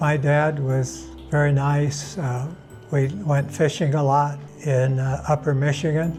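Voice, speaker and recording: Music plays in the background as a man speaks. His voice is fairly high-pitched and his pace very slow. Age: 80s+. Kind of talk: interview answer. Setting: interview location. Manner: soft-spoken, calm.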